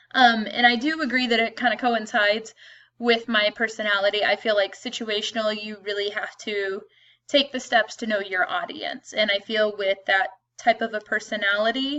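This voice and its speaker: A woman's fairly high voice at a moderate pace, with fairly even intonation. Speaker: teacher. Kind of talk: self-introduction video. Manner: loud; casual with frequent um fillers.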